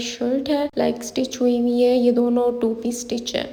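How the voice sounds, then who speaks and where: A woman with a high pitch, monotone, flat intonation and a fairly slow pace, over noticeable background noise. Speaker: YouTuber. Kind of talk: shopping haul vlog. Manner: conversational.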